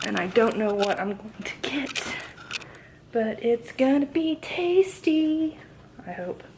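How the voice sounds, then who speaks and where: A woman mumbling at a very slow pace, with very wide pitch swings, long and frequent pauses, and noticeable background noise. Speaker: vlogger. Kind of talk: vlog monologue. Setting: hotel room. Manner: mumbling, running words together.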